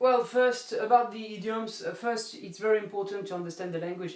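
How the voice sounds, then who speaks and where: A man with a French accent at a fairly quick pace, over noticeable background noise. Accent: French accent when speaking English. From southeast France, between Marseille and Nice. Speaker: French teacher. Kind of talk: live Q&A stream. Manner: halting, many fillers.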